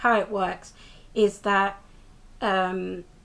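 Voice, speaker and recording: A British accent can be heard. The speaker is a woman. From UK. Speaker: TV review vlogger. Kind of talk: casual episode recap vlog. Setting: filmed close-up on camera at home. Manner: casual, hesitant with many fillers.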